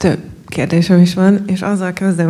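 A woman with a fairly low voice, fairly quick and monotone in flat intonation, against a quiet background. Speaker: audience member. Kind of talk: audience question at a panel discussion. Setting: live event with audience. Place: hall. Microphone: handheld.

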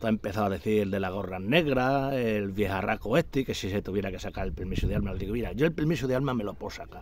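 A man at a fairly quick pace with very wide pitch swings and a dry sound with no echo. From Extremadura, Spain (Garrovillas de Alconétar, Cáceres); Extremadura, Spain. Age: 60s. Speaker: retired hunter vlogger. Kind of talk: casual monologue. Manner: animated. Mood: indignant, complaining. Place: garden. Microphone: phone near.

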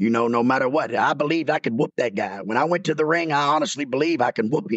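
A man with a Southern US accent, at a very fast pace. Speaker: former pro wrestler. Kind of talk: casual interview. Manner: loud, projecting.

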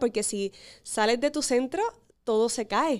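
Against a quiet background, a woman talks at a moderate pace with a fairly high pitch and ordinary pitch variation. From Puerto Rico, Corozal; Puerto Rico. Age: 20s. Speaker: beauty pageant contestant; guest. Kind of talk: interview. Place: studio. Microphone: studio mic.

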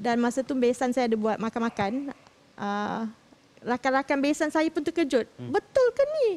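This woman has a high pitch. Her pitch variation is ordinary. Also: moderate pace. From Malaysia. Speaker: mother-in-law. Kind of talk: testimony. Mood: aggrieved, recounting family conflict. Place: studio.

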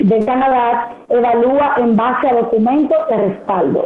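The pitch varies in an ordinary way. Echo from the room is audible. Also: woman. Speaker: guest. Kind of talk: interview answer. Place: home room.

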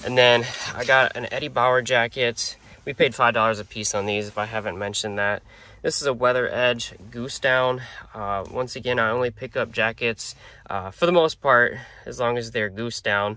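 A man at a moderate pace with a bright, sharp tone, in a dry sound with no echo. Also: fairly even intonation. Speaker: reseller vlogger. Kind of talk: casual vlog chat. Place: car. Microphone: phone near.

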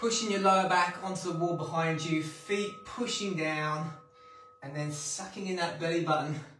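A man speaks at a moderate pace in a high voice with fairly even intonation. Audible room echo and light background noise are present. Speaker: workout instructor. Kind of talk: workout instruction. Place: home room. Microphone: camera far.

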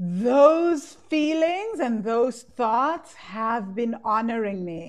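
Over a quiet background, a woman speaks at a very slow pace with hardly any pauses, her fairly high voice making very wide pitch swings. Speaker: course founder and money coach; coach leading live class. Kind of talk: guided EFT tapping meditation, leading students through statements. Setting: live class recording replay. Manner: calm, slow, soothing; instructive, repetitive phrasing. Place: home room. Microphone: earbuds.

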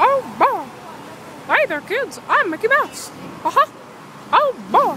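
An extremely high, put-on character voice swings very widely in pitch at a fairly slow pace. Clear background noise runs underneath. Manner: cheerful.

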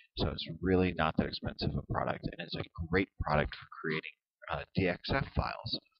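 At a moderate pace, a man talks in a very deep, low pitch with ordinary pitch variation. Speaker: software tutorial video maker. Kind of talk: tutorial. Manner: hesitant, many fillers.

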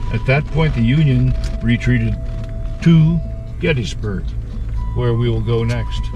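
A man with a very deep, low pitch speaks in a monotone, flat intonation, the sound dry with no echo and noticeable background noise behind him. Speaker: Civil War history guide. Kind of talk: battlefield tour narration. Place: car. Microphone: phone near.

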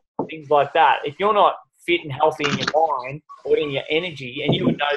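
Noticeable background noise is present throughout. A man speaks at a fairly quick pace. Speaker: fitness coach leading a group call. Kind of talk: motivational talk. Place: home room. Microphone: video call.

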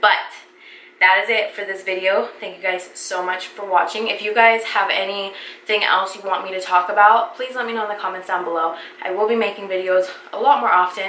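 A woman puts on a raspy character voice at a medium pitch, speaking at a fairly quick pace. Light background noise and an audible echo surround her. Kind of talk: casual vlog chat. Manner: fast, wrapping up a video.

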